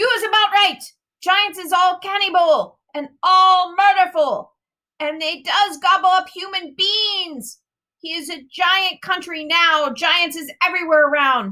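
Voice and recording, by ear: At a fairly slow pace, a put-on character voice speaks with a bright, sharp tone and ordinary pitch variation. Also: woman, extremely high pitch for a woman.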